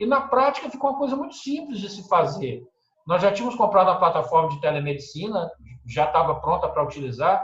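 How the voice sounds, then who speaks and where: A high-pitched man talks very fast with very wide pitch swings and big swings in loudness, and the room echo is audible. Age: 60s. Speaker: physician, anesthetist. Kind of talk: webinar panel discussion.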